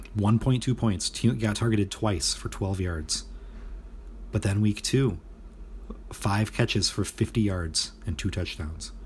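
The man's voice sits fairly low in pitch and carries vocal fry. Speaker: fantasy football league commissioner and podcast host. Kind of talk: casual solo podcast monologue. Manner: casual, many filler words.

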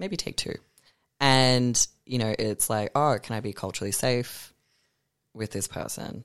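Someone speaks with an Australian accent at a fairly slow pace, leaving long, frequent pauses. The recording is very clean with a silent background, dry and close with no echo. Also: man, medium pitch for a man, ordinary pitch variation. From Melbourne, Australia. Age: 20s. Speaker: artist and drag performer. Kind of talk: casual chat.

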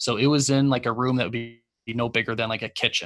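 Here is a man with an unremarkable speaking voice at a medium pitch. He talks at a fairly quick pace with a Canadian accent. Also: very clean recording, silent background. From Calgary, Canada. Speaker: golf podcast host and brand founder. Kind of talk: casual interview chat.

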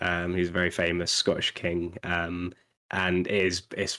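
Speaking in a British accent, a man delivers his words in a flat monotone at a very deep, low pitch. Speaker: podcast co-host. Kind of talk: casual chat. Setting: video call.

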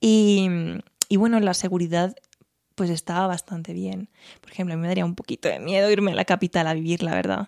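This woman talks at a fairly quick pace in a monotone, flat intonation. The sound is dry and close, with no echo. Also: medium pitch for a woman, big swings in loudness. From Spain, Teruel. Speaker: music teacher and singer. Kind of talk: casual interview.

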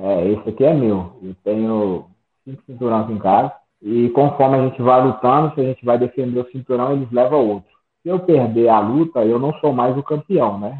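At a moderate pace, a man talks with ordinary pitch variation in an unremarkable speaking voice. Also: medium pitch for a man. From Brazil, Minas Gerais (Sete Lagoas). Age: 30s. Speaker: MMA fighter. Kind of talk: interview.

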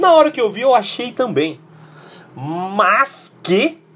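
A man's voice with very wide pitch swings. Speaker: podcast host. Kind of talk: angry rant about people whining on social media, profane and sarcastic. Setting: live Facebook broadcast. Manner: loud, fired-up, exasperated, slangy; animated, comedic, high-energy.

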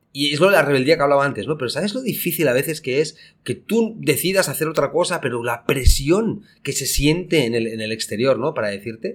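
In an ordinary speaking voice, a man talks at a fairly quick pace with a fairly high pitch and lively intonation. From Spain. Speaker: podcast co-host, entrepreneur. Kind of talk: casual chat.

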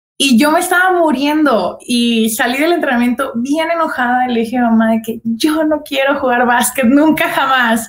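Her high voice has ordinary pitch variation, and the woman keeps a moderate pace with very even loudness and hardly any pauses. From Guadalajara, Mexico. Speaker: basketball player. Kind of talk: casual interview.

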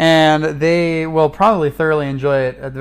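The pace of this man's speech is fairly quick. He talks in an American accent. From California. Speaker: missionary and podcast co-host. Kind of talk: casual chat. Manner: loud.

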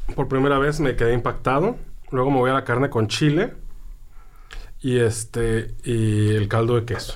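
A man speaks at a medium pitch and a moderate pace, with fairly even intonation. His loudness stays very even, and he leaves long, frequent pauses. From central-southern Mexico. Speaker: food writer, podcast co-host. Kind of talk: casual chat.

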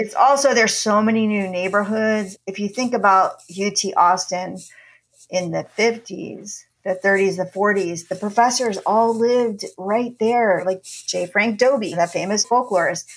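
A woman's medium-pitched, unremarkable speaking voice with an American accent and fairly even intonation. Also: fairly slow pace. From New Jersey. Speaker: documentary producer and university lecturer. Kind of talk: interview.

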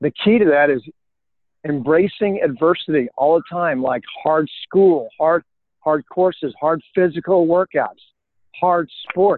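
Pitched high, a man with an American accent speaks at a fairly slow pace with ordinary pitch variation. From US, Colorado. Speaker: retired military officer and speaker. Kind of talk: interview.

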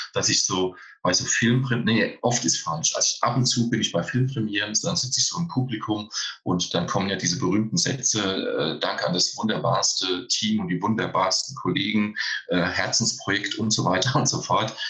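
Against noticeable background noise, a man speaks at a medium pitch. His intonation is lively. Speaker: stuntman. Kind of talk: casual chat.

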